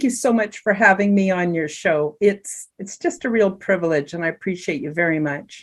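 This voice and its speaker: A woman speaks at a moderate pace with hardly any pauses. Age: 60s. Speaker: energy healer and wellness coach. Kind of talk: interview storytelling.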